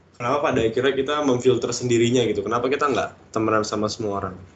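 The man's medium-pitched voice keeps a fairly even intonation. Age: 20s. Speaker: podcast co-host. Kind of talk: casual chat.

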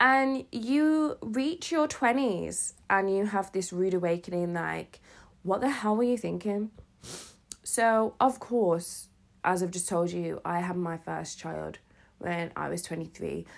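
A woman with a British accent speaks at a very slow pace with lively intonation, in a very clean recording with a silent background. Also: medium pitch for a woman. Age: 30s. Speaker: podcast host. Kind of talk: casual monologue. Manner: hesitant, many fillers.

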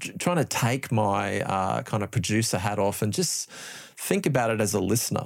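Over a silent background on a very clean recording, a man talks with an Australian accent and vocal fry. His medium-pitched voice has lively intonation. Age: 50s. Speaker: music producer and lecturer. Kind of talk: casual chat. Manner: halting.

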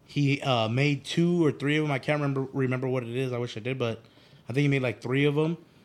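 With an American accent, a man uses a normal speaking voice at medium pitch with ordinary pitch variation. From Phoenix, Arizona. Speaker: clothing brand owner. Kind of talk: casual chat.

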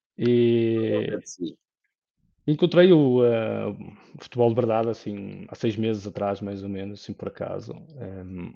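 With a normal speaking voice, a man talks at a fairly slow pace at medium pitch, showing ordinary pitch variation and big swings in loudness. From northern Portugal, Lousada (Porto district). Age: 30s. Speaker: football fan panelist. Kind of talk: casual panel discussion.

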